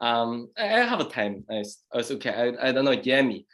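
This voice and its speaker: The speaker has a strong Chinese accent and keeps a moderate pace. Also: man. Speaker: Daoist master and former priest. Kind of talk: casual chat. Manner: halting, many fillers.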